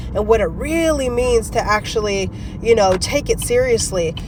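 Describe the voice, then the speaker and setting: The speaker has an animated tone and a moderate pace, with noticeable background noise behind them. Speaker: faith and self-help vlogger. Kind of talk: live-streamed motivational talk.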